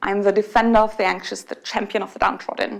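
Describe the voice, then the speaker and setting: A woman with a German accent speaks with vocal fry. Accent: non-native English, German. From Germany. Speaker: conference speaker. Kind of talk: conference talk. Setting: stage with audience.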